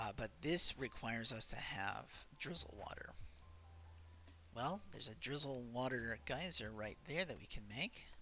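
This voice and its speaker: Over music in the background, a man talks at a fairly slow pace with a medium pitch and very wide pitch swings. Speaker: gaming video creator. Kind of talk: gameplay commentary.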